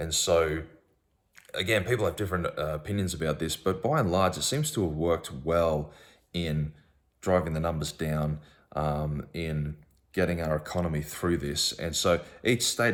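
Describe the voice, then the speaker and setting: On a very clean recording with a silent background, a man with an Australian accent speaks at a moderate pace in a very deep, low pitch. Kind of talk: casual monologue to camera. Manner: hesitant, many fillers.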